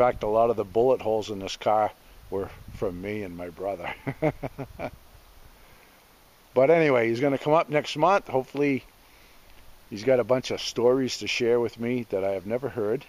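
A man talks at a moderate pace with ordinary pitch variation, big swings in loudness and long, frequent pauses. The sound is dry, with no echo. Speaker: homestead vlogger. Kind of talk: casual vlog chat. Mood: relaxed, amused. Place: forest. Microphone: phone near.

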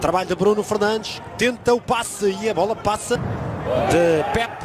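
Over noticeable background noise, a man speaks in an animated tone with a high pitch and lively intonation. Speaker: football commentator. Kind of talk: live football commentary. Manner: animated, fast-paced play-by-play that surges on chances and goals.

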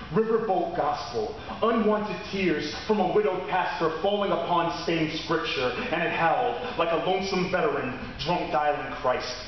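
Speaking at a moderate pace with ordinary pitch variation, a man with a high voice is heard in strong room echo over light background noise. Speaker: slam poet. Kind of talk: spoken word poetry performance. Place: stage. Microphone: camera far.

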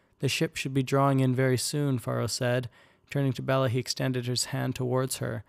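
Here is a natural reading voice. It reads the text aloud.

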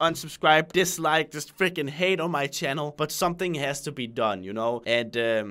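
A man's fairly high voice, bright and sharp, at a fairly quick pace with ordinary pitch variation over a quiet background. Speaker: youtuber. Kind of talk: serious personal address to viewers. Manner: calm. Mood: nervous, vulnerable. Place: home room.

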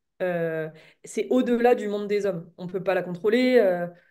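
A dark, mellow tone comes through. Behind it, things are quiet. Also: woman. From French Alps (France); France. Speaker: novelist; guest. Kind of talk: interview. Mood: thoughtful, calm. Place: home room. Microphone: webcam.

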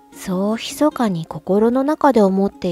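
A woman's medium-pitched voice with lively intonation over music in the background. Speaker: voice actor / narrator. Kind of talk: literary audiobook reading, calm narration.

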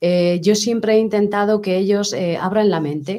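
Her tone is dark and mellow, and the intonation is fairly even. The woman speaks at a fairly slow pace. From Spain, Tomelloso (Castilla-La Mancha); Castilla-La Mancha, Spain. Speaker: sculptor; guest. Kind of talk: interview. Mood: calm, heartfelt. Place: studio. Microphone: studio mic.

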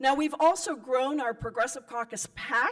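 A woman speaks with lively intonation over a quiet background. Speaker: politician addressing a convention. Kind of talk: political speech. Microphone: podium.

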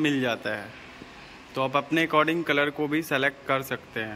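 With light background noise behind him, a man speaks at a moderate pace in a bright, sharp tone. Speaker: car reviewer. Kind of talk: casual product walkaround commentary. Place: shop. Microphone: phone near.

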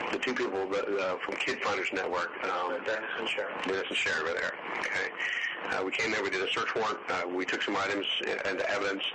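A man talks at a fairly quick pace. Loud background noise runs underneath. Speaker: investigator conducting interview. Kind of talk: interview questioning. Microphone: old recording.

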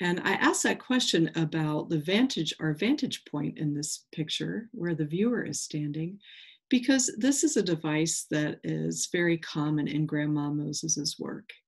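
A woman speaks at a low pitch with ordinary pitch variation, vocal fry and a slightly husky edge. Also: fairly slow pace.

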